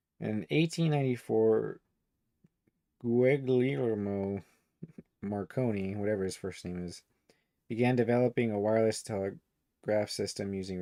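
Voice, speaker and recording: This man's voice sits fairly low, with ordinary pitch variation. The recording is very clean, with a silent background. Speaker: online commentator. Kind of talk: casual reading and commentary livestream. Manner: voice drops low at times; rambling, halting with fillers.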